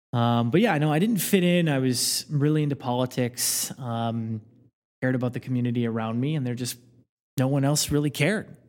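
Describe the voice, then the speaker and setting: Medium in pitch, a man talks at a fairly quick pace with ordinary pitch variation. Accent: Midwestern American. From rural Indiana. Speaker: podcast guest. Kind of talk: casual chat.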